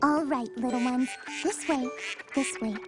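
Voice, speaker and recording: A cartoonish character voice, female-sounding and high in pitch, has a gentle tone and a moderate pace. Clear music plays in the background. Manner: soft, gentle.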